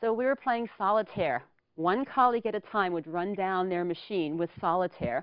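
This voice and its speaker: The speaker is a woman. Her intonation is lively. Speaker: public speaker. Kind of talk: humorous storytelling speech. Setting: studio.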